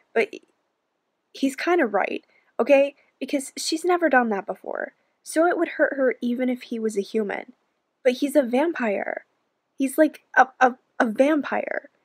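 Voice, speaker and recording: A woman speaks in a high pitch with lively intonation at a moderate pace. Her pauses are long and frequent, and the background is quiet. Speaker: book vlogger. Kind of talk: casual vlog chat. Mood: amused, mildly exasperated. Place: home room. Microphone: phone near.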